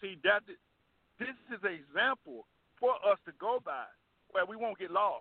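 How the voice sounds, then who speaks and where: With lively intonation and big swings in loudness, a high-pitched man speaks at a moderate pace, leaving long, frequent pauses. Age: 70s. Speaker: pastor. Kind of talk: bible study discussion. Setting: phone call.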